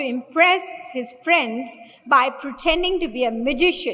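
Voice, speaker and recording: Audible room echo surrounds a woman speaking with lively intonation. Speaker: spiritual teacher. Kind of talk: lecture. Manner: slow.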